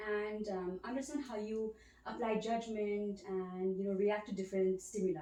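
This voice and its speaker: Over noticeable background noise, a soft-spoken woman talks at a moderate pace and medium pitch with fairly even intonation. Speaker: ASMR creator playing a cognitive examiner. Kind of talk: ASMR role play, soft-spoken examiner.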